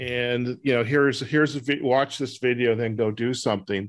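A man with a normal speaking voice talks at medium pitch with fairly even intonation. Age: 60s. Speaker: podcast host. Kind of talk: interview; show outro.

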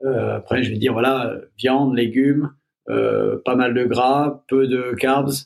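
A man at medium pitch speaks at a very slow pace in a monotone, flat intonation, his loudness very even. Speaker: movement instructor. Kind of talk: casual chat.

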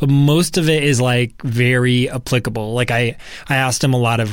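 On a very clean recording with a silent background, a man has an unremarkable speaking voice, medium in pitch, with fairly even intonation. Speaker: podcast guest co-host; professional podcaster. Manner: casual, chatty, frequent filler words.

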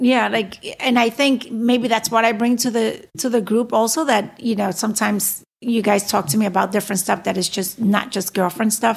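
A woman's fairly high, somewhat breathy voice at a moderate pace, with fairly even intonation, very even loudness and hardly any pauses, on a very clean recording with a silent background. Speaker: lawyer and podcast host. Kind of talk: casual chat.

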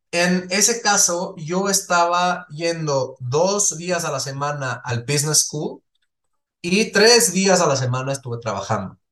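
This man speaks at a very slow pace. His high-pitched voice has lively intonation. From Switzerland, small village. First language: not Spanish (Swiss) (speaking Spanish). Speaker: entrepreneur. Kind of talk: interview conversation.

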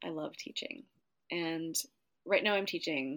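The speaker is a woman. Her pitch is fairly low. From US Upper Midwest, northwestern Minnesota. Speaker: dance teacher and choreographer. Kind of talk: interview.

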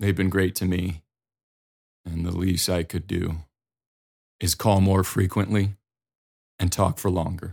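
On a very clean recording with a silent background, a man with an Upper Midwest accent speaks at a fairly slow pace, his very deep, low pitch somewhat breathy and flat in monotone intonation, with long, frequent pauses. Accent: Dakota (Upper Midwest). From North or South Dakota. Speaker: podcast host and speaker for parents. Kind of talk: solo podcast monologue. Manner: casual and reflective.

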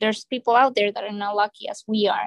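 A woman speaks in an unremarkable speaking voice at a fairly high pitch. Her intonation is fairly even, and the sound is dry and close with no echo. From Colombia, moved to US young. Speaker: hotel HR director. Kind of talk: interview.

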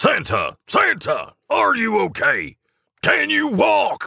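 A man does a put-on character voice at a high pitch, with very wide pitch swings and a slow pace. The tone is bright and sharp, with vocal fry and a slightly husky edge.

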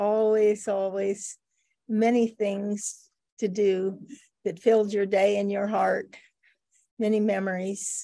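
Speaking at a very slow pace with long, frequent pauses, a woman has a dark, mellow tone and a monotone, flat intonation. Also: medium pitch for a woman. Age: 70s. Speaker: marriage and family therapist. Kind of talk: casual interview.

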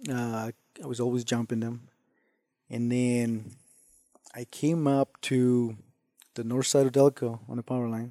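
In a Spanish accent, a man speaks at medium pitch with a dark, mellow tone and monotone, flat intonation, the sound dry and close with no echo. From Mexico. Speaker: hunter and ranch hand. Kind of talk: casual interview.

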